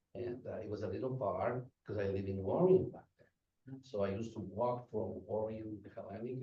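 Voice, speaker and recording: A man's somewhat breathy, fairly low voice with a Spanish accent, fairly even intonation and a moderate pace. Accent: Spanish accent, rough. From Guatemala. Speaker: restaurant manager. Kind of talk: public talk at community meeting. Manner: halting.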